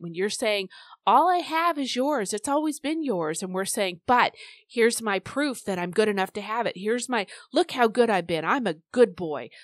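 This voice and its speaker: Against a quiet background, a woman with an ordinary speaking voice talks at a fairly quick pace with lively intonation. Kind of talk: fervent intercessory prayer spoken aloud to God. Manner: earnest, pleading, heartfelt, direct address to the Lord.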